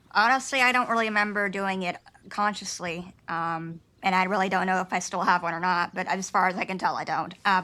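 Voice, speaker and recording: A woman with an American accent talks at a moderate pace in a bright, sharp tone. Her intonation is fairly even, and the recording is very clean with a silent background. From US South. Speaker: podcast co-host. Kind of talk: casual chat.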